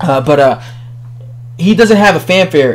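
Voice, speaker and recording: A man with an American accent, high pitch, and lively intonation, amid noticeable background noise. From New York. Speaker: boxing commentator, video blogger. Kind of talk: casual opinion monologue. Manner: casual, many fillers.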